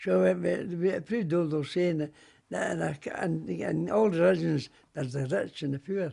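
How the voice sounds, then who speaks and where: A fairly high-pitched, dark, mellow man's voice with very wide pitch swings and a Glasgow accent. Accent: Scottish, Glasgow. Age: 80s+. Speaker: war veteran. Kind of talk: interview answer.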